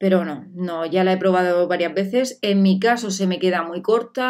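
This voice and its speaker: The pace is moderate and the tone animated. Pitch varies in an ordinary way. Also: woman. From Spain. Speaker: beauty vlogger. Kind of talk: product review vlog. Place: home room.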